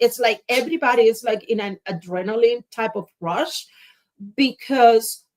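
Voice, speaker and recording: A woman speaks at a fairly slow pace with a Spanish accent. Her fairly high voice has lively intonation. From Cuba. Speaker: public speaker. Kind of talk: casual chat.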